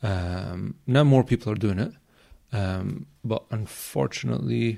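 With a Glaswegian accent, a man uses lively intonation at a fairly low pitch in a dark, mellow tone. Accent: Glaswegian Scottish. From Scotland, Glasgow. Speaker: self-development coach and NLP practitioner. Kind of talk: casual interview chat.

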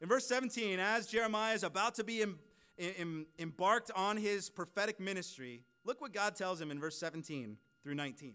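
A man's raised, projected voice with an American accent, high pitched, bright and sharp in tone, with lively intonation. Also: fairly quick pace. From US West Coast (California). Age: 30s. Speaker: preacher. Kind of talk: sermon. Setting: church service with congregation.

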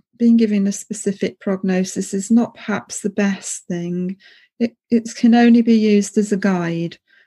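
A woman's dark, mellow, somewhat breathy voice moves at a fairly slow pace with ordinary pitch variation on a very clean recording with a silent background. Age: 50s. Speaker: podcast host, former palliative care nurse. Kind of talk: interview.

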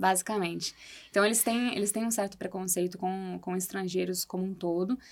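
Speaking at a fairly quick pace, a woman uses a medium pitch and a monotone, flat intonation. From Brazil. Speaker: architect and former exchange student. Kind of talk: podcast interview.

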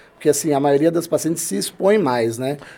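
The speaker's intonation is lively. Noticeable background noise runs underneath. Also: man. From Brazil, São Paulo state (Limeira). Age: 40s. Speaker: plastic surgeon. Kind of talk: casual interview chat.

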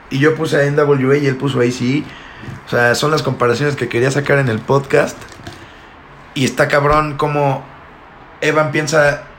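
Amid noticeable background noise, a man with a Mexican accent and a fairly high pitch speaks at a moderate pace in a monotone, flat way, with long, frequent pauses. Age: 20s. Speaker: podcast host. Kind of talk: casual chat.

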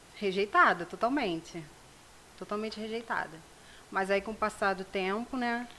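With a bright, sharp tone, a woman at medium pitch speaks at a moderate pace, leaving long, frequent pauses. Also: ordinary pitch variation. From Rio de Janeiro state, Brazil. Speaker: self-esteem project founder. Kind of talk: casual interview. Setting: studio.

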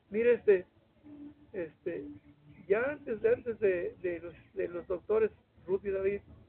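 With a San Luis Potosí accent, a man speaks at a high pitch and a fairly slow pace. His pitch varies in an ordinary way. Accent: Mexican Spanish, San Luis Potosí. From Mexico, Mexquitic, San Luis Potosí. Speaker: retired social studies teacher. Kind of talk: interview, storytelling. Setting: at his home. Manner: halting, many repetitions.

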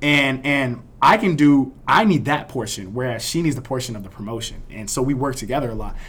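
A man with an American accent talks at a fairly quick pace, hardly pausing at all. It is an ordinary speaking voice, medium in pitch with ordinary pitch variation. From Miami, Florida. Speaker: party promoter and university student. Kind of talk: casual interview chat.

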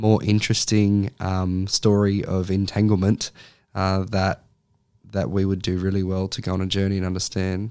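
In an Australian accent, a man talks at a moderate pace with a fairly low pitch and flat, monotone intonation, recorded very cleanly over a silent background. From Australia (Sydney). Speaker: social work lecturer. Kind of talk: interview conversation.

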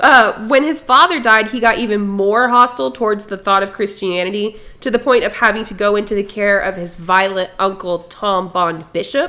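A woman talks at a moderate pace with hardly any pauses. Her pitch is medium and her intonation lively. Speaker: podcast co-host. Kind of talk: casual chat. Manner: laughs often.

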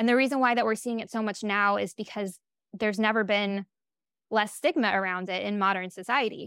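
Speaking fairly quickly in an unremarkable speaking voice, a woman keeps a fairly high pitch and fairly even intonation. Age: 30s. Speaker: author and gender diversity educator. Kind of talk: interview.

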